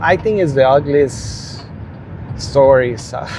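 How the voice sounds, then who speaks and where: At a very slow pace and with ordinary pitch variation, the speaker talks in a Spanish accent over noticeable background noise and audible room echo. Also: man. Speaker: rideshare driver and storyteller. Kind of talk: casual storytelling monologue. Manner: halting.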